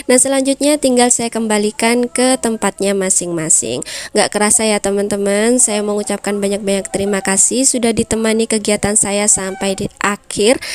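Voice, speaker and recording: The speech runs with hardly any pauses over noticeable background noise. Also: woman, fairly high pitch for a woman, ordinary pitch variation, moderate pace, dry, close sound with no echo. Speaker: housewife vlogger. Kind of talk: vlog voiceover tutorial. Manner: casual, chatty.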